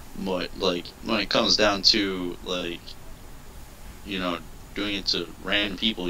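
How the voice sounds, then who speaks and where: Speaking in a very deep, low pitch, the man has a bright, sharp tone. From Puerto Rico. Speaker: gaming channel host. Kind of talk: casual chat. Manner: hesitant, filler-heavy.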